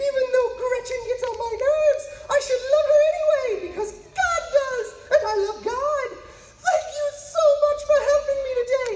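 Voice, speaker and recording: Over clear background noise, a man does a put-on character voice at an extremely high pitch and a moderate pace. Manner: excitable, fussy.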